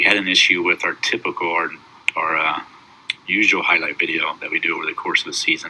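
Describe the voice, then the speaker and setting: Noticeable background noise runs beneath a man talking very fast. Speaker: high school basketball head coach. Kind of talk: awards banquet speech recorded at home.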